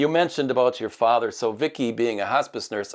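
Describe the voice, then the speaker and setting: A man with a Midwestern accent speaks at a moderate pace with ordinary pitch variation. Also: very clean recording, silent background. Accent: Midwest. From US Midwest. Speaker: interviewer, movie theater host. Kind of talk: interview. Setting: studio.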